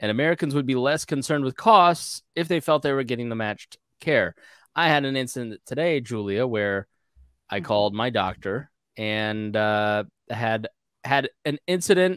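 Against a quiet background, a man talks at a moderate pace with lively intonation. The sound is dry, with no echo. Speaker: podcast host. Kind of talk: podcast discussion. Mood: casual, lightly amused. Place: home room. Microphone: studio mic.

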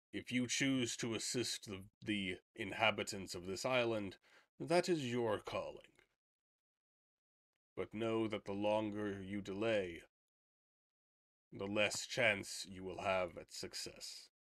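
Doing a put-on character voice, a man with a fairly low pitch speaks at a fairly slow pace with long, frequent pauses, on a very clean recording with a silent background. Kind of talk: fantasy game voicing. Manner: calm, cryptic, solemn.

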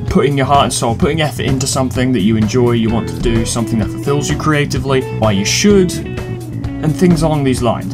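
A man with a British accent at a very fast pace, clear music in the background. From England. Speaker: let's player, video maker. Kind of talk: casual talk to camera. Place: home room. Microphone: webcam.

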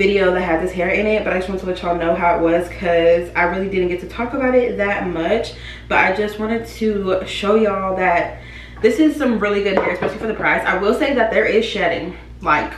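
A woman talking at a fairly quick pace with ordinary pitch variation, some audible room echo and light background noise. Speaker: beauty vlogger. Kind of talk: casual vlog chat, product review. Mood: upbeat, enthusiastic. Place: home room. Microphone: camera far.

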